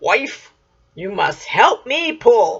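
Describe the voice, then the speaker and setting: The speaker uses a put-on character voice. Its pitch sits fairly high. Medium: read story.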